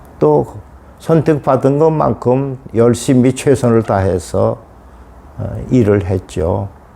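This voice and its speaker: Against noticeable background noise, a man with a medium pitch and lively intonation speaks at a very slow pace. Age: 80s+. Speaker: elderly student. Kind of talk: interview monologue. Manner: halting.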